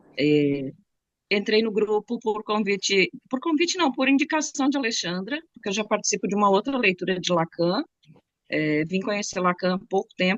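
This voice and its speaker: At a moderate pace, a woman with a southern Brazilian accent talks with very wide pitch swings. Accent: gaúcho accent with some Bahian words. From southern Brazil (Rio Grande do Sul). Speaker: psychoanalysis study participant. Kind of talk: self-introduction in online study group.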